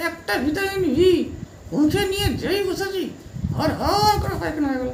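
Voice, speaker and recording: An extremely high-pitched put-on character voice talks at a moderate pace. There is clear background noise behind it. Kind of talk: comic rural character. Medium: comedy sketch. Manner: earnest, rambling, deadpan.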